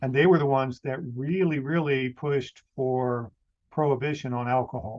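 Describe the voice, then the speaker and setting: With a plain, everyday voice, a man talks at a moderate pace, his medium pitch showing ordinary pitch variation. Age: 60s. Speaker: podcaster. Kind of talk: casual chat.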